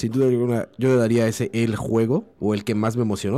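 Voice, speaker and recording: Over music in the background, a man with a medium-pitched voice speaks at a fairly quick pace with fairly even intonation. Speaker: video game commentator. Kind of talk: casual chat.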